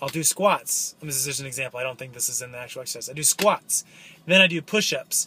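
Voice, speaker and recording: The tone is bright and sharp, and the pace fairly quick. Light background noise is present. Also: man, dry sound with no echo. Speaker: vlogger. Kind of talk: casual vlog chat. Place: car. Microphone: phone near.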